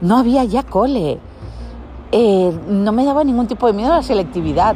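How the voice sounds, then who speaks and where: Music plays behind a woman's voice. She speaks at a medium pitch with lively intonation. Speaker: podcaster. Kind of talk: casual personal storytelling monologue.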